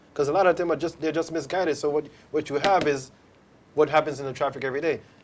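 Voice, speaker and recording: Speaking at a very fast pace, a man keeps his fairly high voice flat and monotone. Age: middle-aged. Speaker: drag racing association representative. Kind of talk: studio interview.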